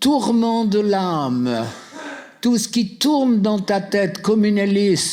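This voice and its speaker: The speaker talks at a very slow pace, keeping very even loudness and lively intonation. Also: man. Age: 80s+. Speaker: deliverance minister. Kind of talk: deliverance prayer. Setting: seminar with live audience. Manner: commanding.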